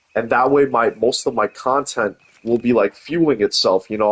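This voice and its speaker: In a dry, close sound with no echo, a man with an American accent speaks at a moderate pace and medium pitch. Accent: Brooklyn accent, comes and goes. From New York, Brooklyn (Coney Island). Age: 20s. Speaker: gaming streamer. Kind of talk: casual chat. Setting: live stream.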